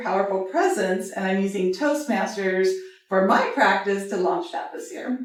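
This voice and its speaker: With audible room echo around her, this woman talks at a moderate pace. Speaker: panelist, production company owner. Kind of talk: panel discussion. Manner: animated.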